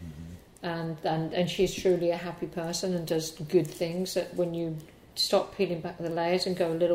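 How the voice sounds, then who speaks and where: A plain, everyday voice from a woman, medium in pitch, at a moderate pace. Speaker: hairdresser and educator. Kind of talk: interview.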